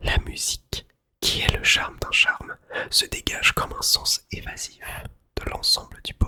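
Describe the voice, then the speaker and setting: A man whispers. His speech has long, frequent pauses. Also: fairly slow pace, dry, close sound with no echo. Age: 20s. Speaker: music teacher, ASMR creator. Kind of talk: literary book reading, essay on music. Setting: studio, close-up microphone. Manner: whispered, soft-spoken.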